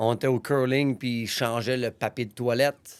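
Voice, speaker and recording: Speaking at a fairly slow pace, a man uses a medium pitch and fairly even intonation on a very clean recording with a silent background. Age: 30s. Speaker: gym owner, podcast host. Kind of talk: personal storytelling monologue. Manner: casual, with false starts.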